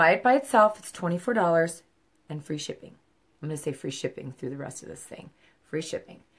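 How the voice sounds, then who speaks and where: At a fairly quick pace, a woman with a fairly low pitch speaks with big swings in loudness and very wide pitch swings. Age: 50s. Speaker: makeup seller. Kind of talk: makeup tutorial livestream. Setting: live video at home. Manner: casual. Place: home room. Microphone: phone near.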